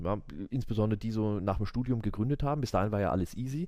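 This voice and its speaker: This man's voice has a dark, mellow tone. He talks at a very fast pace. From Würzburg, Franconia, Germany. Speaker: business lawyer. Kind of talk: casual interview chat. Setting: law office, late at night.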